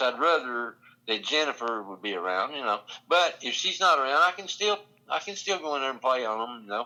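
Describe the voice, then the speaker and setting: With a Kentucky accent, a man speaks at a moderate pace in a bright, sharp tone with lively intonation. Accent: Kentucky, US South. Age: 60s. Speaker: drummer. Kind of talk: podcast interview.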